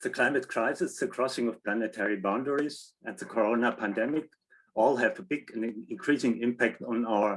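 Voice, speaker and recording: Speaking at a moderate pace, a man talks with a German accent. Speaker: general practitioner. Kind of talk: short online presentation.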